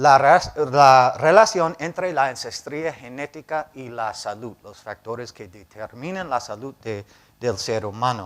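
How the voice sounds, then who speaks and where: Speaking with a non-native accent, a man at a medium pitch uses lively intonation at a fairly slow pace, his loudness swinging widely, on a very clean recording with a silent background. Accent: foreign accent in Spanish, learned in Cali. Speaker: professor, bioinformatics program director. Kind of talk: lecture. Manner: halting, with filler sounds.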